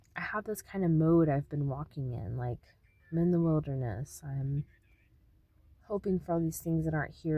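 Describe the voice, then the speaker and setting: Soft-spoken, a woman talks in a dark, mellow tone with ordinary pitch variation. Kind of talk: spiritual teaching monologue. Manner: hesitant, many fillers.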